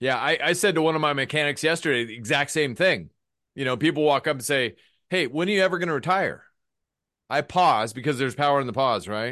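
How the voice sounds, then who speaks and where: A man speaks very fast with a fairly high pitch. His pitch varies normally, and the background is quiet. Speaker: podcast host. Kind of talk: casual interview chat.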